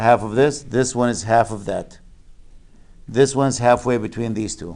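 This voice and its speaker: This man has a medium pitch and fairly even intonation, with big swings in loudness. He speaks at a moderate pace against a quiet background. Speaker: math teacher. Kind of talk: lecture.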